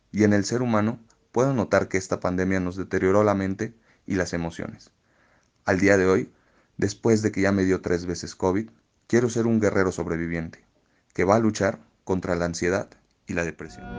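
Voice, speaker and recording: A man with a very deep, low pitch speaks at a moderate pace with fairly even intonation. He takes long, frequent pauses, and the background is quiet. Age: 20s. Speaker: podcast contributor. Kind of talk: personal testimony.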